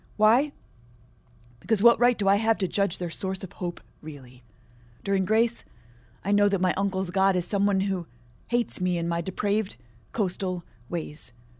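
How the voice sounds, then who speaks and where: On a very clean recording with a silent background, a woman with an American accent speaks at a moderate pace and medium pitch, with ordinary pitch variation and long, frequent pauses. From Michigan, US Midwest. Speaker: poet. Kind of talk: interview; poetry reading.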